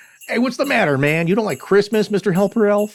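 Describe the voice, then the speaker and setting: A man talks at a very fast pace in a put-on character voice. His pitch sits high. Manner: jolly, teasing.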